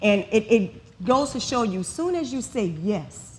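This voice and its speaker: A woman talks with a fairly high pitch. Noticeable background noise is present. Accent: New Orleans. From New Orleans, Louisiana. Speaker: model and makeup artist. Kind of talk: conference talk.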